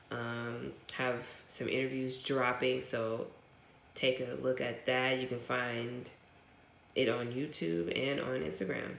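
In an American accent, a woman with a very deep, low pitch and vocal fry speaks at a very slow pace with ordinary pitch variation and audible room echo. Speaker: podcast co-host. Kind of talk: casual chat.

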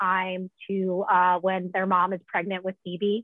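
A woman speaks in a plain, everyday voice. Her pitch is medium and her pace fairly slow. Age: 20s. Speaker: podcast host, writer and adjunct professor. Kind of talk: casual podcast chat.

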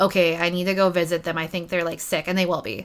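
Using an ordinary speaking voice, a woman with a Canadian accent talks at a fairly quick pace in a fairly low pitch. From Ontario, Canada. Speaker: community support coordinator. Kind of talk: casual chat. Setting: in person.

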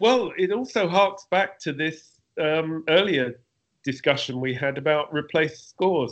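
In a London accent, the speaker talks at a moderate pace with lively intonation. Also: man. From London, England. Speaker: film composer. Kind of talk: interview.

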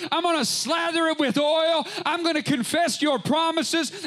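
Over noticeable background noise, a man with an extremely high pitch talks at a moderate pace. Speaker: preacher. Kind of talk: sermon. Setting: church with live congregation. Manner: fervent, impassioned preaching.

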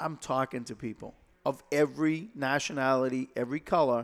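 A man with a Boston accent speaks at a medium pitch with fairly even intonation, in a very clean recording with a silent background. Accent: Boston-area New England. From Lowell, Massachusetts. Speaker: state senate candidate, retired police officer. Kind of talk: interview. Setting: studio. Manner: halting, repeats words.

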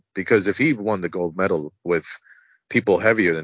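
Here is a man with an American accent and a fairly low pitch. He speaks at a fairly quick pace. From New Jersey (Elizabeth). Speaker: wrestling podcast co-host. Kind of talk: casual chat. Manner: animated.

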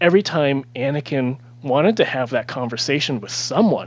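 Speaking at a moderate pace, a man with an unremarkable speaking voice holds a medium pitch and ordinary pitch variation. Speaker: author. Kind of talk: casual chat.

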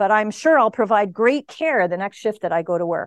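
In a Canadian accent, a normal speaking voice talks at a fairly quick pace with lively intonation, the sound dry and close with no echo against a quiet background. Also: woman. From Canada. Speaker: emergency physician and speaker. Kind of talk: grand rounds lecture. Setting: lecture room with audience.

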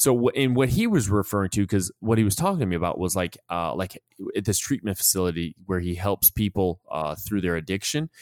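In a plain, everyday voice, a man talks at a fairly quick pace with fairly low pitch and ordinary pitch variation, recorded very cleanly against a silent background with a dry, close sound and no echo. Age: 40s. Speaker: podcast host and former soldier leader. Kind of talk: casual conversational podcast.

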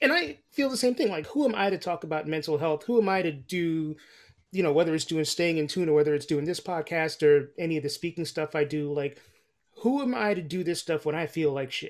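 A man with a normal speaking voice, a fairly high pitch and ordinary pitch variation at a fairly quick pace, on a very clean recording with a silent background. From New York. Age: 40s. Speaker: podcast host. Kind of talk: interview.

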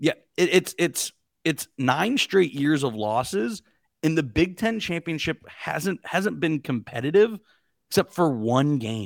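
A normal speaking voice: a man with an American accent, fairly high pitch, lively intonation and a fairly slow pace, recorded dry and close with no echo on a very clean, silent background. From Pittsburgh, Pennsylvania. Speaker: college football podcaster. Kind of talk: casual sports chat.

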